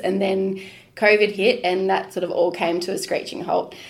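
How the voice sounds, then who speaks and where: Someone with an Australian accent talks at a moderate pace in a flat monotone, with audible room echo. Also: woman. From Queensland, Australia. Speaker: food tour business owner. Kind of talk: casual interview.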